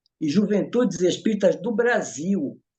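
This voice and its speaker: This man speaks at a fairly slow pace. His pitch is high. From northern Brazil, Belém do Pará. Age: 70s. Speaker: spiritist movement organizer. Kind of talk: casual interview chat. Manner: halting, with frequent repetitions.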